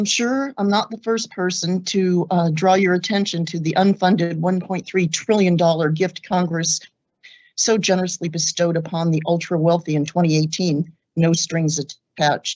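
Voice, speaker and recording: This is an ordinary speaking voice with fairly even intonation. The pace is moderate. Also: woman, fairly low pitch for a woman. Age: 60s. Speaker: law student giving public comment. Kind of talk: public comment statement.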